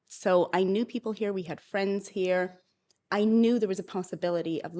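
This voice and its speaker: A woman's plain, everyday voice at a medium pitch, with a Canadian accent, fairly even intonation and a moderate pace, on a very clean recording with a silent background. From Canada. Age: 40s. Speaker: author and entrepreneur. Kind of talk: interview conversation.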